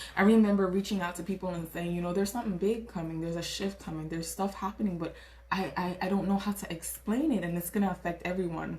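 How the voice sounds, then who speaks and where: A woman with a Caribbean accent speaks at a very fast pace, her medium-pitched voice animated in tone. Noticeable background noise runs underneath. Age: 20s. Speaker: tarot reader. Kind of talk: tarot reading. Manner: animated, casual.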